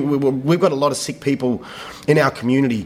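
This is a man with an Australian accent. His pitch sits fairly high. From Western Australia. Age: 30s. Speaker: theatre director. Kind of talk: interview. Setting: rehearsal studio. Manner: halting, many repetitions.

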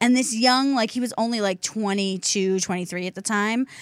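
A woman speaks with a Philadelphia accent. The sound is dry and close, with no echo. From Delaware County, Pennsylvania (Philadelphia area). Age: 30s. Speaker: radio talk show co-host. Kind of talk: casual chat. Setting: radio studio.

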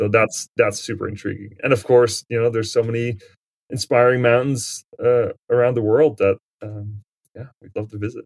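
A man at medium pitch, monotone and flat, moderate in pace, with big swings in loudness and a dry, close sound free of echo. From Netherlands. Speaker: mountain guide and alpinist. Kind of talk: interview. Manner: hesitant, many fillers.

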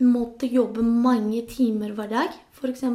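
A woman's high-pitched voice of dark, mellow tone, in a Spanish accent. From Spain. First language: Spanish (speaking Norwegian). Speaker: nurse, labour migrant. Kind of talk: interview.

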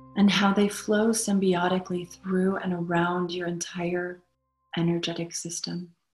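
A woman speaks in a soothing, calm tone at a fairly low pitch and fairly slow pace. Her intonation is flat and monotone, with music in the background. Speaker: meditation guide. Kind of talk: guided meditation. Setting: live online session with group. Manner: slow, soothing, calm; warm, gentle.

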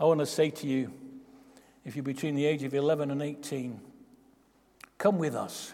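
Speaking with an English accent, a man uses a dark, mellow tone at a fairly high pitch, a moderate pace and fairly even intonation, with long, frequent pauses. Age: 80s+. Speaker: pastor. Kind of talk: sermon. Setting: church.

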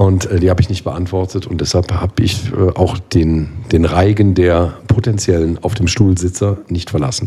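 Hardly pausing at all, a man with a very deep, low voice speaks at a moderate pace with fairly even intonation. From Rhineland, Germany (Bergisch Gladbach near Cologne). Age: 40s. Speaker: carnival band keyboardist. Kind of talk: casual chat.

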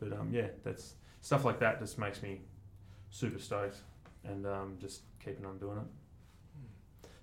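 A man speaks with audible room echo around him. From Australia, Mornington Peninsula, Victoria. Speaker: commercial photographer. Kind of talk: casual chat. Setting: studio.

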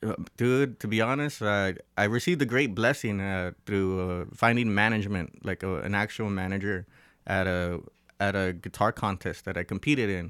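Speaking in a Southern Californian accent, a man with a fairly low pitch talks at a moderate pace with ordinary pitch variation. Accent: Southern California American. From Los Angeles, US. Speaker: musician. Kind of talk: casual chat. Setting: studio.

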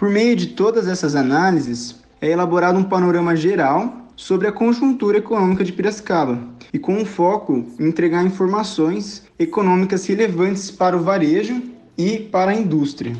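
A man with a high voice speaks at a moderate pace, his loudness very even. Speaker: economics student. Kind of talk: scripted presentation.

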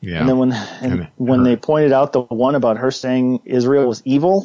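With a normal speaking voice, a man talks at a medium pitch and a moderate pace. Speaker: political commentator guest. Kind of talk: casual chat. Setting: video call. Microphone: Skype call audio.

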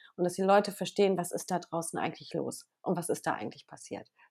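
Here a woman with a fairly low pitch speaks at a very fast pace. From western Germany, Bergisches Land (Wermelskirchen). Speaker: journalist and TV presenter. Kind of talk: casual interview. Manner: hesitant, many fillers.

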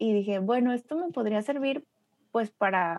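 The sound is dry and close with no echo. The pitch varies in an ordinary way. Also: woman. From Mexico, Torreón (La Laguna). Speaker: graphic designer and strategic design consultant. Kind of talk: casual interview chat.

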